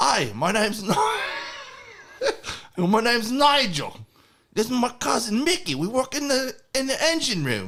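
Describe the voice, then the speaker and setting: In a put-on character voice, a man projects loudly at an extremely high pitch, keeping a moderate pace broken by long, frequent pauses. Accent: non-native. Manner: improvised.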